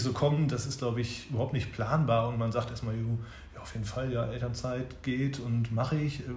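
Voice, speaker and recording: Audible room echo surrounds a man speaking at a medium pitch. His pace is moderate and his intonation fairly even. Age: 30s. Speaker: father and advertising production manager. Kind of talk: interview. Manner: hesitant with many fillers.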